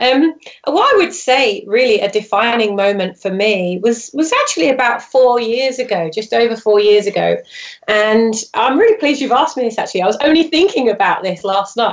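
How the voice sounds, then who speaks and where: With a British accent, a woman talks at a fairly quick pace in a fairly high voice with lively intonation, against noticeable background noise. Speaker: branding expert. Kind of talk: interview. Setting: phone or video call from France.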